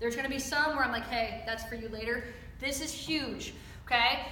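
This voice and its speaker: High-pitched speech from a woman with an American accent, plus noticeable background noise and audible room echo. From US Midwest, Chicago. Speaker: softball coach. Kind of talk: coaching clinic lecture. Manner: animated.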